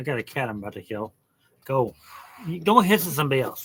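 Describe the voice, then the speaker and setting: Delivered at a very fast pace, this voice has a bright, sharp tone and an American accent. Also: man. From Oregon. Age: 60s. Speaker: hobbyist maker and vlogger. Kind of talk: casual vlog talk. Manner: halting, with fillers and repetitions.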